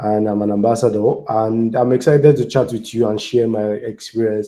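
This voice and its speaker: The voice has a dark, mellow tone and a Nigerian accent. It moves at a fairly quick pace. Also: man. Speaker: software engineer and community speaker. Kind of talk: conference talk.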